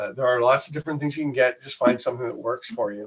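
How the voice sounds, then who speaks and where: A man speaks with a Canadian accent. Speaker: podcast producer and host. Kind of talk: tutorial. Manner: loud.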